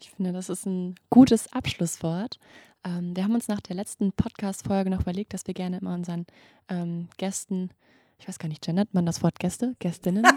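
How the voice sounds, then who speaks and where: The tone is dark and mellow, somewhat breathy, with fairly even intonation at a moderate pace. Loudness swings widely, and the sound is dry and close with no echo. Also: woman, medium pitch for a woman. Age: 20s. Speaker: medical student podcast host. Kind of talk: interview.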